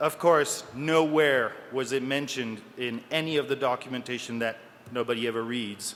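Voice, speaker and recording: Speaking with a French accent, a man keeps a medium pitch, fairly even intonation and a moderate pace. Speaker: security researcher. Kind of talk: conference talk. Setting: stage with audience.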